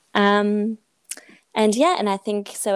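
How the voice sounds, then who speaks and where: A woman speaks with a French accent. The sound is dry and close with no echo, on a very clean recording with a silent background. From France. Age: 20s. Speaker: engineer and swimmer, charity co-founder. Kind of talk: interview.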